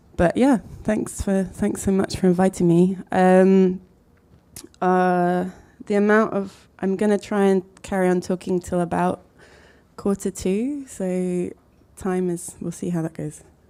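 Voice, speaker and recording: A woman's mumbling at a fairly slow pace, with a dark, mellow tone, medium pitch, fairly even intonation and long, frequent pauses. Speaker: architect and design collective co-founder. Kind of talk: talk to an audience. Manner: hesitant, many fillers.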